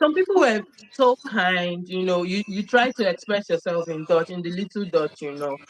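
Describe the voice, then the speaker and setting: A woman talks at a moderate pace and medium pitch with lively intonation. The sound is dry and close with no echo, though noticeable background noise is present. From Nigeria. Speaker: immigrant sharing experiences. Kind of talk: interview conversation.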